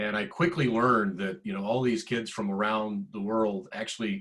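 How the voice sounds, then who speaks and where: In an ordinary speaking voice, a man with an American accent talks at a moderate pace. His pitch is fairly low, and its variation is ordinary. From US South, middle Georgia. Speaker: tech executive. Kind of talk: panel discussion.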